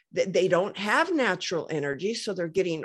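Heard here is a woman with a plain, everyday voice at a medium pitch and lively intonation. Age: 60s. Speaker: inventor and health product business owner. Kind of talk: interview conversation.

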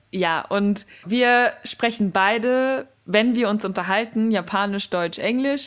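Her pitch fairly high with ordinary variation, a woman speaks at a very slow pace with hardly any pauses and very even loudness in a very clean recording with a silent background. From Germany. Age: 20s. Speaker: podcast co-host, student. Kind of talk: casual chat.

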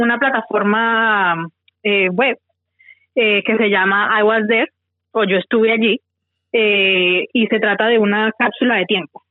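A woman speaks very slowly in a fairly high pitch, with ordinary pitch variation. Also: very even loudness. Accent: Valle del Cauca Colombian. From Colombia, Tuluá, Valle del Cauca. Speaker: project founder, accountant. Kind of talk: interview. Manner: halting, repeats words.

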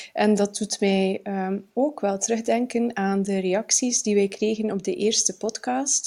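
Speaking at a very slow pace, a woman uses a medium pitch, ordinary pitch variation and a dark, mellow tone. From Flanders, Belgium (Bruges). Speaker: writing podcast co-host. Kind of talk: casual chat. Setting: at a kitchen table.

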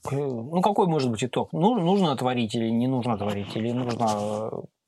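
Speaking in a normal speaking voice, this man keeps a medium pitch and a moderate pace. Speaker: sound engineer. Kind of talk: casual chat. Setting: studio.

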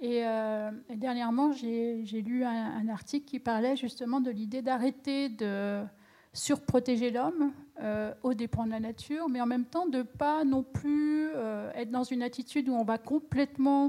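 High in pitch, this woman's voice has a dark, mellow tone. She speaks at a fairly slow pace with ordinary pitch variation. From France, Champagne region. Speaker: industrial designer. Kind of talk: panel discussion. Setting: stage with audience.

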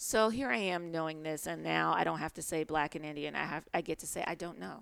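A woman with a very deep, low pitch and vocal fry. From Chicago, US Midwest. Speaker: TV writer. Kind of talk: casual interview.

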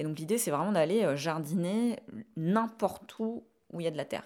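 A woman speaks at a moderate pace and with ordinary pitch variation on a very clean recording with a silent background. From southern France, Ariège. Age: 30s. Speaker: urban farmer and YouTuber. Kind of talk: interview testimony. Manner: halting, many repetitions.

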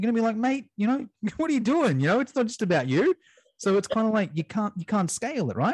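Speaking very fast with an Australian accent, a man's high pitch swings very widely in a dry, close sound with no echo. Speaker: fitness educator and business owner. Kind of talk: casual interview. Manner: animated.

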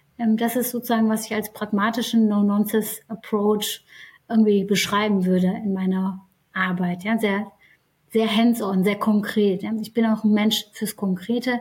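A woman with a fairly high pitch speaks at a moderate pace in a somewhat breathy, monotone voice with flat intonation. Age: 30s. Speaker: HR executive. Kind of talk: interview.

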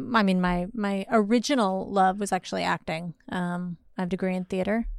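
A woman with an American accent speaks in an unremarkable speaking voice at a medium pitch, with fairly even intonation, in a very clean recording with a silent background. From Los Angeles, California. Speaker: comedian and actor. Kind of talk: casual chat, podcast interview. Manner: playful, teasing.

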